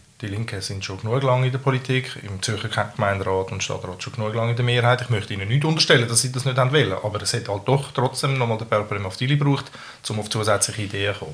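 Very fast male voice at a medium pitch, ordinary pitch variation, with noticeable background noise. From Switzerland, Zurich area, Balkan family. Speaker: local politician. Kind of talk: casual debate. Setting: home kitchen.

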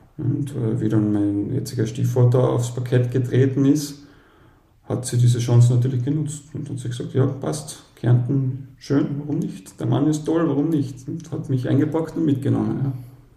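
Audible room echo surrounds a man with a medium pitch. He talks at a moderate pace with fairly even intonation. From Austria, Carinthia. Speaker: dad blogger. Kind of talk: interview.

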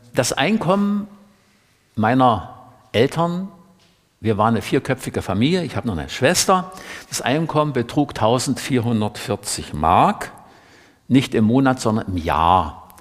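Pitched at medium level, a man talks at a fairly slow pace with very wide pitch swings and long, frequent pauses. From East Germany, Saxony-Anhalt (Middle Elbe). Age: 70s. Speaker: author and environmentalist. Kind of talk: public talk. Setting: library event with audience.

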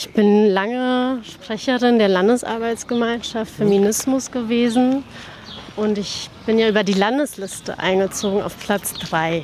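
Amid noticeable background noise, a woman with a fairly high pitch talks at a fairly slow pace with ordinary pitch variation. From Berlin-Spandau, born in Tehran. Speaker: politician. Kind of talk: interview.

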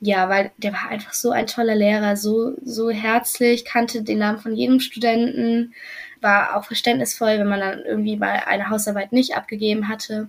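A woman's fairly high, somewhat breathy voice at a moderate pace, with fairly even intonation. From western Germany, near Düsseldorf. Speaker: former exchange student. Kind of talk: interview.

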